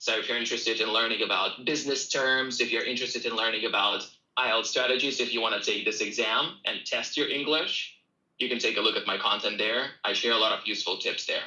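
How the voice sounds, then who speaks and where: Keeping a very even loudness, a man talks at a very fast pace in a Russian accent. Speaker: English teacher. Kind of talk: self-promotion; casual livestream chat.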